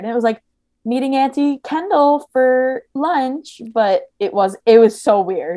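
A high-pitched woman with a New Jersey accent and lively intonation. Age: 20s. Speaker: podcaster.

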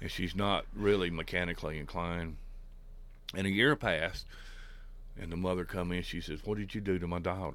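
A man with an American accent speaks in a very deep, low voice, with fairly even intonation. He leaves long, frequent pauses, and there is audible room echo. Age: 60s. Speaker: miller. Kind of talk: interview. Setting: on location at a mill.

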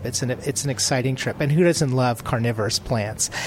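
Over noticeable background noise, a man of medium pitch speaks at a fairly quick pace with ordinary pitch variation. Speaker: travel writer. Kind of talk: interview at conference. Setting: conference showcase.

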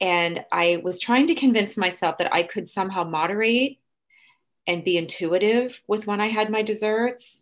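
Medium-pitched woman's voice at a moderate pace, ordinary pitch variation, over a quiet background. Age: 50s. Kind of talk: personal testimony in casual interview. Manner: halting, with fillers and repeated words.

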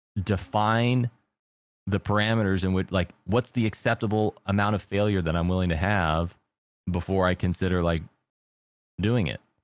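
Over a quiet background, a man with a fairly low pitch talks with fairly even intonation and very even loudness, leaving long, frequent pauses, in a dry, close recording with no echo. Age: 30s. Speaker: streamer and drummer. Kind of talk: casual chat.

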